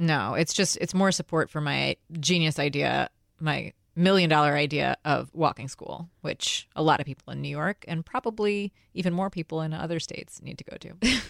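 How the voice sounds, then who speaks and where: A woman with a very deep, low pitch and vocal fry talks at a moderate pace with ordinary pitch variation. Her loudness swings widely, and the sound is dry and close with no echo. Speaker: podcast co-host. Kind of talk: casual chat.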